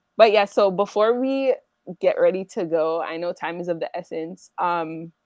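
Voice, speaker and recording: A woman with a plain, everyday voice speaks at a moderate pace and medium pitch. Her pitch varies in an ordinary way, while her loudness swings widely. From Canada. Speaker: podcast host. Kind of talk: interview.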